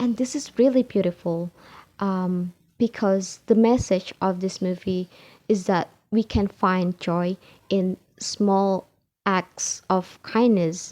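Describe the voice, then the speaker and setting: In an Indonesian accent, a woman speaks at a very slow pace with fairly even intonation. The recording is very clean with a silent background and a dry, close sound with no echo. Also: medium pitch for a woman. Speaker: English learner. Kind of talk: IELTS speaking practice answer to camera. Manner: hesitant, with filler sounds.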